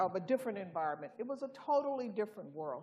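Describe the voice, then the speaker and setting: A woman speaks in a normal speaking voice with an American accent. Her pitch is fairly high and her intonation lively. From US South, Birmingham, Alabama. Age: 60s. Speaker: science education director. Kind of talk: conference keynote talk.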